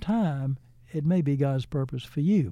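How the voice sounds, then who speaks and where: A man speaks with an American accent. His tone is dark and mellow, his pitch fairly high. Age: 80s+. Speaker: foundation president, retired businessman. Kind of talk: interview storytelling. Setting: studio. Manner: animated.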